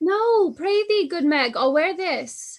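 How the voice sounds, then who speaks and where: A woman's put-on character voice, squeaky and extremely high-pitched, with lively intonation at a fairly slow pace. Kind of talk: Shakespearean stage reading. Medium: stage play.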